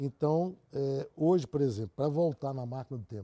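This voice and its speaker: A man's plain, everyday voice at medium pitch and a moderate pace, with ordinary pitch variation and a dry, close sound with no echo. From Brazil, Catalão, Goiás. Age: 60s. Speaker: engineer. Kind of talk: interview.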